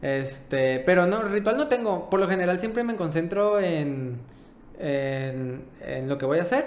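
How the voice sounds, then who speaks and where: A high-pitched man at a fairly slow pace with very wide pitch swings, plus noticeable background noise and audible room echo. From Mexico, Baja California Sur. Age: 20s. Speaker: paralympic swimmer. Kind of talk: casual interview.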